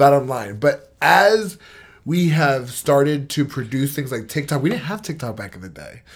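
Over a silent background on a very clean recording, a somewhat breathy man speaks at a fairly high pitch with big swings in loudness. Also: moderate pace. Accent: American. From New York (Port Chester). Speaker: podcast co-host. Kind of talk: casual chat.

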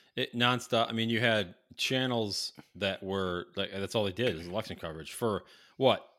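On a very clean recording with a silent background, a man with an ordinary speaking voice talks at a medium pitch and moderate pace, with ordinary pitch variation. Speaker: podcast co-host. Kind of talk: casual chat.

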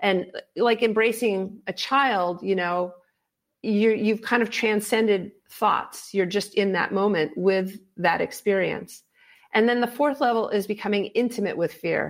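Using a normal speaking voice, a woman talks at a fairly slow pace and medium pitch, with ordinary pitch variation and very even loudness. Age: 50s. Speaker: fear expert and author, former pro extreme skier. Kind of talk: interview.

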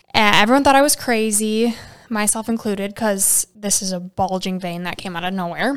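A woman's unremarkable speaking voice with ordinary pitch variation at a fairly quick pace. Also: medium pitch for a woman. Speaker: health podcast co-host. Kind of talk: casual chat.

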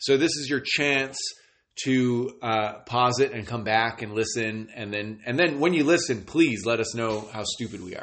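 Medium in pitch, a man talks at a moderate pace with ordinary pitch variation. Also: big swings in loudness. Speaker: podcast host. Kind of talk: casual chat. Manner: loud, profane, animated.

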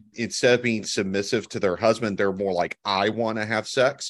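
Over a quiet background, a man with a Texas accent speaks at a fairly low pitch with fairly even intonation. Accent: Southern US (Texas). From Texas Hill Country and Gulf Coast Alabama. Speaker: podcast co-host. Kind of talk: casual chat.

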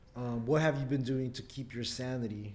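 A man talks at a fairly quick pace in a dark, mellow tone. His intonation stays fairly even. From Philippines, raised in California. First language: Tagalog. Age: 30s. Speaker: rapper and artist. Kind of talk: casual interview chat. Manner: relaxed, casual, conversational.

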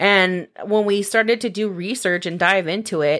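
In a very clean recording with a silent background, a woman with an American accent speaks at a moderate pace and medium pitch, her tone animated and her intonation lively. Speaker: podcast co-host. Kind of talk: casual storytelling chat. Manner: animated, laughing.

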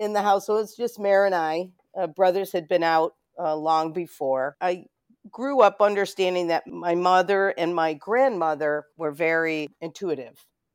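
Speaking at a moderate pace, a woman with an American accent has a fairly low pitch. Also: ordinary pitch variation. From Rochester, New York. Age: 50s. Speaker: psychic medium and video producer. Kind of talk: casual interview chat. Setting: remote call.

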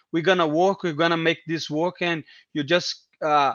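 This man speaks with a Portuguese accent at a high pitch. His intonation is fairly even and his pace fairly slow. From Brazil, Brasilia. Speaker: MMA fighter. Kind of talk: casual interview. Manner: halting, repeating words.

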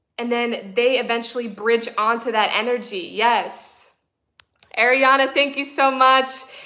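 Her high, bright, sharp voice carries audible room echo as the woman speaks at a fairly slow pace with fairly even intonation. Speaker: spiritual coach and livestreamer. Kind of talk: live-streamed spiritual talk. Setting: livestream with chat, camera on tripod.

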